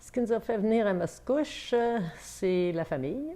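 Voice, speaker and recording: A woman's intonation is lively as she talks at a very slow pace. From Quebec, Hautes-Laurentides. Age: 60s. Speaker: grandmother interviewed by granddaughter. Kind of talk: interview answers. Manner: hesitant, many filler sounds.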